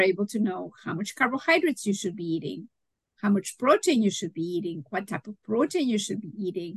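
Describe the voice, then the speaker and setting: Somewhat breathy, a woman with a Spanish accent speaks with very wide pitch swings in a dry, close sound with no echo. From Mexico. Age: 60s. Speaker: holistic nutritionist. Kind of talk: interview. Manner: animated.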